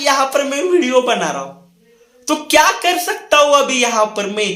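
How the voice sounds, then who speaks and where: A man with a Marathi accent speaks in a raised, projected voice with a bright, sharp tone. His intonation is lively, and there is audible room echo. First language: Marathi (speaking Hindi). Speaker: motivational speaker. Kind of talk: motivational talk to camera. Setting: recording a video indoors near a window.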